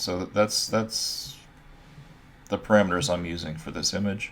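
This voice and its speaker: This man's pitch is very deep and low, with lively intonation. Long pauses come often. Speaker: art instructor. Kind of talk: tutorial. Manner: casual, with fillers.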